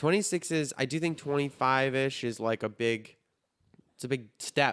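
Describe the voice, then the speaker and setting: A man with a Chicago accent talks at a moderate pace. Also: medium pitch for a man, ordinary pitch variation. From Chicago area, US Midwest (Highland Park). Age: 30s. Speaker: podcast host. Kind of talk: casual chat.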